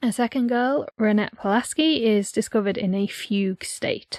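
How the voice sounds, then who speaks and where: With a northeastern English accent, a woman speaks at a fairly high pitch with ordinary pitch variation on a very clean recording against a silent background. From North Yorkshire, England. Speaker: podcast co-host. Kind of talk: scripted narration; casual chat.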